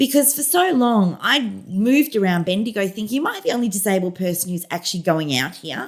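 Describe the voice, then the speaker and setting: Somewhat breathy and at medium pitch, a woman with an Australian accent speaks at a fairly quick pace, her pitch swinging very widely. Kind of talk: casual interview chat.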